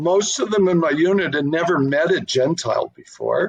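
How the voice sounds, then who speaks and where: At a moderate pace, a man speaks with a Canadian accent in a high voice. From Canada. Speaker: artist. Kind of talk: interview. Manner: halting.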